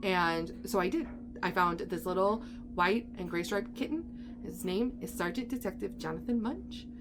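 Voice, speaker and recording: Over music in the background, a woman speaks in an upbeat tone at a fairly slow pace. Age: 30s. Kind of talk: casual talk to camera. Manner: chatty, upbeat.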